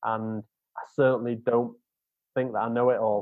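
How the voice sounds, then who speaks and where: Speech comes at a moderate pace. Its intonation stays flat and monotone. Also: man. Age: 30s. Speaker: sales professional. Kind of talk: podcast interview. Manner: halting, many repetitions.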